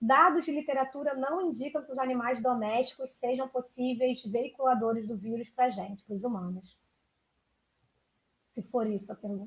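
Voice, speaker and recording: A woman with a high voice talks at a moderate pace, her pitch varying in an ordinary way. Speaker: food safety speaker. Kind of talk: Q&A answer at online lecture.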